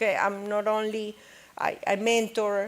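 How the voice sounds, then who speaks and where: A woman with a non-native accent and monotone, flat intonation, on a very clean recording with a silent background. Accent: non-native accent in every language. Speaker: business owner. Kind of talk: panel discussion. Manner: halting, frequent okay fillers.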